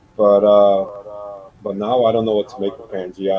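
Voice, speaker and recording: Noticeable background noise behind a fairly quick, fairly low-pitched male voice. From Central America. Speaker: flat earth believer. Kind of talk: casual chat. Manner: halting.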